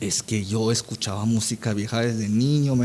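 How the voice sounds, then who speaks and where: With fairly even intonation, a plain, everyday voice proceeds at a moderate speed. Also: man. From Peru, Amazon region, Iquitos. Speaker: actor. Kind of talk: casual interview.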